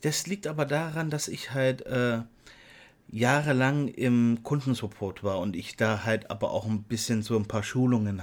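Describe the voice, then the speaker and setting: A man talks at a moderate pace. His medium pitch varies in an ordinary way. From Saxony, eastern Germany. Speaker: podcast co-host. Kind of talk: casual chat. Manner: hesitant, many filler sounds.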